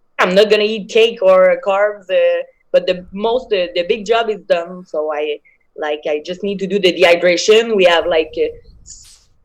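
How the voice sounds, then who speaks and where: A woman with a strong French accent, at a moderate pace, with big swings in loudness. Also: medium pitch for a woman, ordinary pitch variation. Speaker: MMA fighter. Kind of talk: interview. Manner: hesitant, many fillers.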